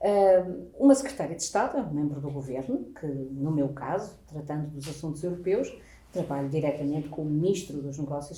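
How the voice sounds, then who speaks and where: This woman has a very deep, low pitch and lively intonation. She speaks at a fairly quick pace, and room echo is audible. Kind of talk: interview answer, explanatory.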